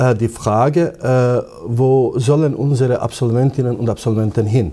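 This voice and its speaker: A man's somewhat breathy voice with a dark, mellow tone and ordinary pitch variation. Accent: Bosnian. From Bosnia. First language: Bosnian (speaking German). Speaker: imam and Islamic theologian. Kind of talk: interview. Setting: on location at a university institute. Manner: hesitant, many fillers.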